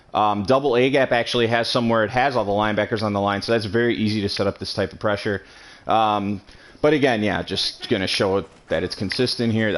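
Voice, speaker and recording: A man's fairly low voice with fairly even intonation at a very fast pace. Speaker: video game tutorial creator. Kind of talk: tutorial. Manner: hesitant, many fillers.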